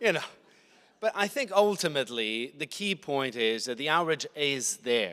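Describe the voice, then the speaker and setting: A man with an American accent, fairly high pitch, very wide pitch swings, a bright, sharp tone and a moderate pace. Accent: sounds American. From Italy. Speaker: panelist. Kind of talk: panel discussion.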